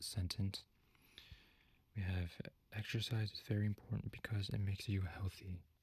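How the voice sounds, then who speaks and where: Soft-spoken and somewhat breathy, a man talks at a fairly low pitch with monotone, flat intonation. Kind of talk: ASMR teacher roleplay, soft-spoken feedback.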